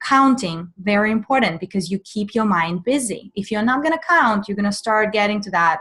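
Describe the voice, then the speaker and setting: With a Russian accent, a woman speaks in a fairly high pitch against a quiet background. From Russian Far East. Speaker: mindfulness coach. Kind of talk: webinar Q&A. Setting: online webinar.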